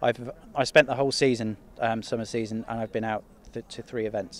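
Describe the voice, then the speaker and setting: Speaking at a fairly quick pace, a man delivers his words in a monotone, flat intonation with a dry sound and no echo. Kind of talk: interview answer. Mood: relaxed, modest. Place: farm machine. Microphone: handheld.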